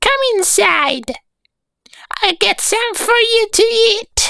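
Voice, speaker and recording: A put-on character voice speaks very slowly at an extremely high pitch. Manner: gentle, sweet.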